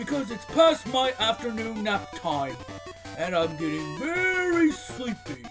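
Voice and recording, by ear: A man's put-on character voice, extremely high-pitched and fairly bright, with big pitch swings at a fairly slow pace over faint background music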